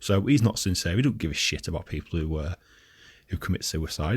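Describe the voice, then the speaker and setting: Recorded very cleanly against a silent background, a man speaks in a very deep, low pitch, somewhat breathy, with ordinary pitch variation. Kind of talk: casual talk to camera, rant.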